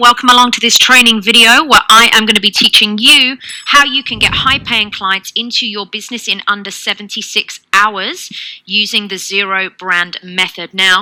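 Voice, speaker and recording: A woman uses an ordinary speaking voice, pitched fairly high with ordinary pitch variation. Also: moderate pace. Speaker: online business coach, training video presenter. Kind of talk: energetic sales pitch.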